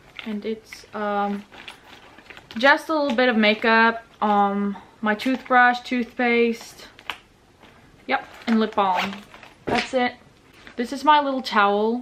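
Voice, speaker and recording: Noticeable background noise runs under the voice. The intonation stays fairly even. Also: woman. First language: Norwegian. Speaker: vlogger. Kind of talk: casual vlog packing walkthrough.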